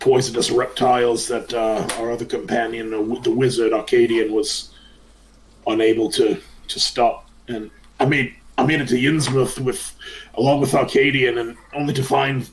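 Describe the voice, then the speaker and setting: A man puts on a character voice that is raspy and medium in pitch. He speaks at a moderate pace with fairly even intonation. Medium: actual play. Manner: gruff, world-weary.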